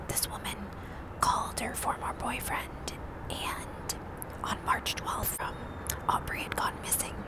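A woman whispering, breathy and fairly slow, with long, frequent pauses, dry sound with no echo, and loud background noise. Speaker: true crime narrator. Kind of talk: casual vlog chat reading case details. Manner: breathy close-mic ASMR whisper. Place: street. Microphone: earbuds.

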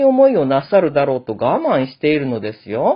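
At a moderate pace, a woman speaks in a very deep, low voice. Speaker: classical literature lecturer. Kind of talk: lecture.

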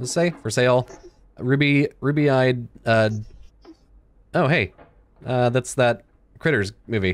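Fairly slow speech from a man with ordinary pitch variation and long, frequent pauses. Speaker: gaming YouTuber. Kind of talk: casual gameplay commentary. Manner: animated, joking, chatty. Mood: playful, mock-scared.

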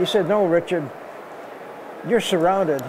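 Over noticeable background noise, a man talks at a high pitch with ordinary pitch variation. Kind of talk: interview answer. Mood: earnest, reflective.

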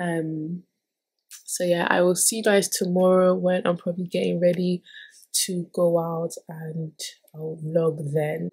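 The speaker talks at a fairly slow pace in a flat, monotone way, somewhat breathy, with long and frequent pauses. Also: woman. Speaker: vlogger. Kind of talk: casual vlog talk to camera. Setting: at home. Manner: relaxed, lots of fillers.

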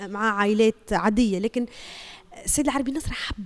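At a fairly quick pace, a woman is talking. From Tunisia. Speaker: TV journalist; journalist. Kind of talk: testimony. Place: home room. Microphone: handheld.

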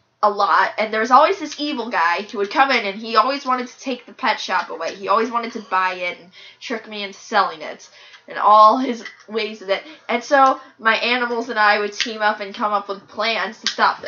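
A woman at a fairly quick pace, with big swings in loudness, ordinary pitch variation and music in the background. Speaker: storyteller in a home comedy video. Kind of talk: casual storytelling. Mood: playful, laughing. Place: home room. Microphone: camera far.

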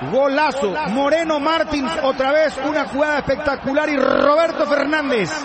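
A man with an extremely high pitch talks at a fairly slow pace with hardly any pauses. His intonation is fairly even, his loudness very even, and background noise is noticeable. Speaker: football commentator. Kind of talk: live football commentary, shouting goals, then anguished and emotional after the 4-0. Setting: broadcast booth, live match.

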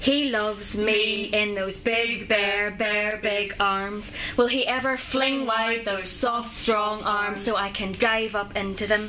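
A woman speaks at a very slow pace with fairly high pitch and a flat, monotone delivery. She hardly pauses, and music plays in the background. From Northern Ireland. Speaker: performance poet. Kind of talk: poetry performance.

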